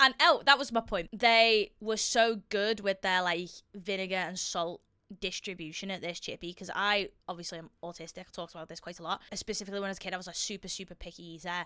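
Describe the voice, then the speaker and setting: A woman talks at a very fast pace in a bright, sharp tone, with a medium pitch and ordinary pitch variation. Her loudness swings widely, and the recording is very clean with a silent background. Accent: Liverpool. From Liverpool, Merseyside, England. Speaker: fitness and weight-loss vlogger. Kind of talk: casual video reaction commentary. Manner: animated.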